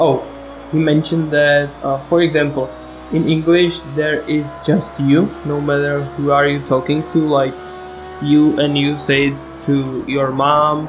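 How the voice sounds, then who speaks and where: A man with a Czech accent talks at a fairly slow pace in a monotone, flat intonation. The recording carries noticeable background noise and audible room echo. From Czech Republic. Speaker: sim racing gamer. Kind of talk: gameplay commentary. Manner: halting, many fillers.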